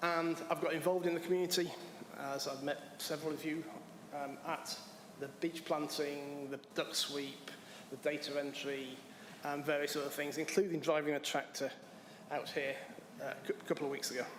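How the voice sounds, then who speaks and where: With an English accent, a man speaks in a monotone, flat intonation at a fairly high pitch and a moderate pace, leaving long, frequent pauses amid audible room echo. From England. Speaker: applicant to town board. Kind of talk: public comment at council meeting.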